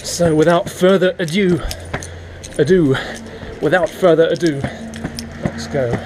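Speaking with an English accent, a man with a high voice talks at a fairly slow pace with fairly even intonation and long, frequent pauses, against noticeable background noise. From England. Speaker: English teacher and vlogger; English teacher, vlogger. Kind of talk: casual vlog narration. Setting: outdoors, commuting by skateboard.

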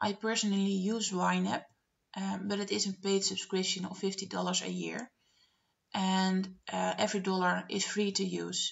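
A woman with a Dutch accent speaks at a moderate pace. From Netherlands. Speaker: budgeting vlogger. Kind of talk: screen-share tutorial narration. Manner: hesitant, many filler words. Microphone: webcam.

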